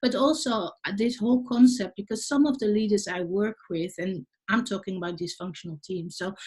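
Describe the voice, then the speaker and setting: A woman with a Dutch accent, medium pitch, somewhat breathy voice, and lively intonation, going at a fairly quick pace with hardly any pauses. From Netherlands. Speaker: leadership coach, podcast host. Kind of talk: podcast interview.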